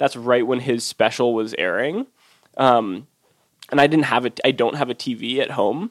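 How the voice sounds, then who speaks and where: A man with a plain, everyday voice talks at medium pitch and a moderate pace, with ordinary pitch variation. The sound is dry and close with no echo. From US West Coast, Oakland. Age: 20s. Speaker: food writer and cookbook author. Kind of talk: casual interview.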